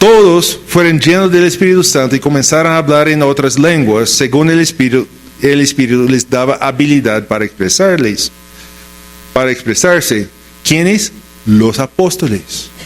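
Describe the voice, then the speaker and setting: With a fairly high pitch, this man talks at a moderate pace, his intonation lively and his loudness very even. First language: English (speaking Spanish). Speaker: pastor. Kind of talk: sermon.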